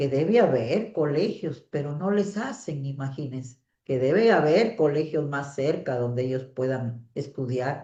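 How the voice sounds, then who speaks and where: Speaking at a fairly slow pace with hardly any pauses, a woman uses a very deep, low pitch and lively intonation. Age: 60s. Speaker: teacher. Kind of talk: online class.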